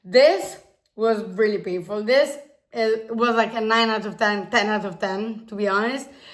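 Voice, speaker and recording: The pace is moderate and the intonation fairly even. Room echo can be heard. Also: woman. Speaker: YouTuber. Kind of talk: casual vlog talk.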